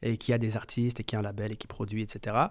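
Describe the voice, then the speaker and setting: A man talks on a very clean recording with a silent background. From France, Metz. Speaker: music producer. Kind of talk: interview. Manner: hesitant, many fillers.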